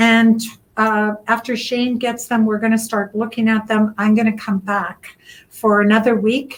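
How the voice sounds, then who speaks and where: The woman's voice sits fairly high and sounds somewhat breathy. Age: 60s. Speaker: literacy project organizer. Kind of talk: interview.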